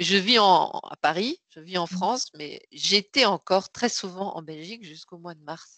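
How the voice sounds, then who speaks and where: A woman speaks at medium pitch with a bright, sharp tone and ordinary pitch variation. Her fairly slow delivery sounds dry and close, with no echo. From Belgium. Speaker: sales strategy consultant and author. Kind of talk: interview. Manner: halting.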